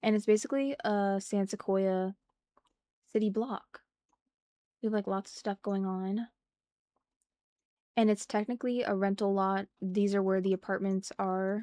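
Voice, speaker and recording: A woman speaks at a moderate pace with medium pitch, fairly even intonation and long, frequent pauses. Her tone is dark, mellow and relaxed, and the sound is dry and close with no echo. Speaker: gaming streamer. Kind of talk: casual chat. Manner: talking weird due to throat; relaxed, chatty.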